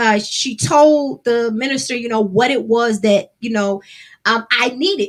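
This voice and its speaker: This loud woman has a high pitch and ordinary pitch variation. Her pace is fairly slow. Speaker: gospel singer and songwriter. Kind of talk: casual livestream talk.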